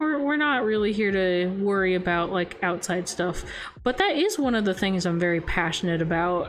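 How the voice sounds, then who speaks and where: Music plays behind a soft-spoken woman. Her pitch swings very widely. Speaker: VTuber. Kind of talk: casual livestream chat.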